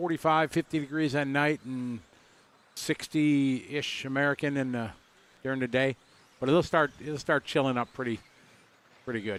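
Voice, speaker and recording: In a dry, close sound with no echo, a man with a Wisconsin accent speaks at a fairly high pitch, leaving long, frequent pauses. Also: fairly even intonation, moderate pace. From US Midwest, Wisconsin. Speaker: RC racing commentator. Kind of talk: live commentary with casual chat.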